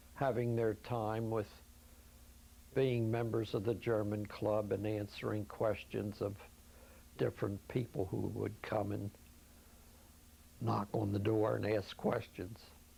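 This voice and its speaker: In an American accent, a man with a fairly low, dark, mellow voice speaks fairly slowly and somewhat breathily, his intonation monotone and flat, with long, frequent pauses. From Philadelphia, US. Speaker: elder recounting his life story. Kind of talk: oral history interview. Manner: halting.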